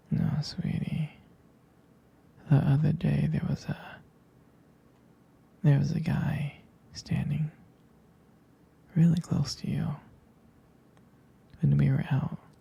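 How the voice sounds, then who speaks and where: A soft-spoken man whispers with vocal fry at a very slow pace, leaving long, frequent pauses. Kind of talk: ASMR boyfriend roleplay. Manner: whispered, soft-spoken.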